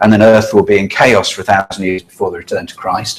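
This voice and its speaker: A man is speaking. His pitch sits fairly low. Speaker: lay preacher giving a talk. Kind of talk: lecture. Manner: halting.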